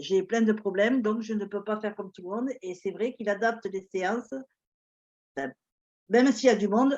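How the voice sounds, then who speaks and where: A woman at a medium pitch and moderate pace, with ordinary pitch variation, big swings in loudness and long, frequent pauses. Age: 60s. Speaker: retiree, fitness client. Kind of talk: testimony.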